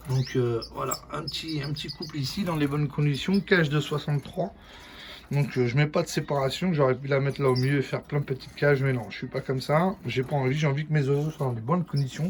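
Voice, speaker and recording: The speech comes at a fairly quick pace on a very clean recording with a silent background. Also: man, fairly high pitch for a man. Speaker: bird breeder vlogger. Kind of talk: casual video tour. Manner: loud; animated.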